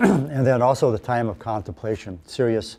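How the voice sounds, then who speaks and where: A man with an American accent speaks with a dark, mellow tone. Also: very clean recording, silent background. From Minnesota, USA. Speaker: polar explorer. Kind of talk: talk to a club audience.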